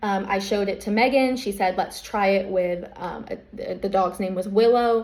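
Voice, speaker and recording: A woman at a moderate pace with hardly any pauses, fairly even intonation and noticeable background noise. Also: medium pitch for a woman. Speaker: service dog business owner. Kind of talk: personal statement video defending business. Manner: hesitant, many fillers.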